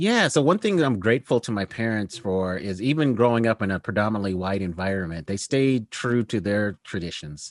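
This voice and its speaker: A man with a normal speaking voice and a fairly low pitch talks at a fairly quick pace with lively intonation and hardly any pauses, in a dry, close sound with no echo against a quiet background. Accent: American. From Colorado, US (Denver area). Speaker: food author and historian. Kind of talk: casual interview.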